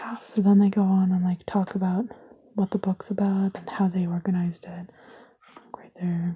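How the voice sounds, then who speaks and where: Soft-spoken delivery at a moderate pace over noticeable background noise. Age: 20s. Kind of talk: casual ASMR ramble to camera.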